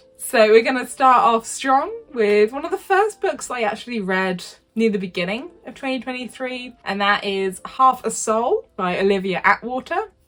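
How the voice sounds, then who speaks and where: Speaking with a British accent, a woman has a fairly high pitch and hardly pauses. Her loudness swings widely. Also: lively intonation, moderate pace. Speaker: book youtuber. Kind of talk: casual book review vlog.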